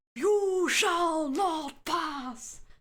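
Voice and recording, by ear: An extremely high pitch comes through in a put-on character voice.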